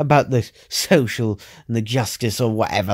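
Someone reads in an unforced voice, keeping the intonation fairly even.

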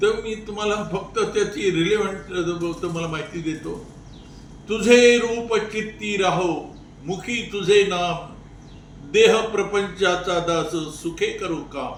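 Over noticeable background noise, a man speaks at a high pitch with ordinary pitch variation. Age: 90s. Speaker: elderly advocate and veteran of the independence movement. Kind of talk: interview answer.

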